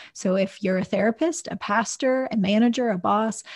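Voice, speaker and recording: A normal speaking voice at a moderate pace, with ordinary pitch variation and a quiet background. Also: woman. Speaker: podcast host, clinical psychologist. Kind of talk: interview conversation about faith and leadership.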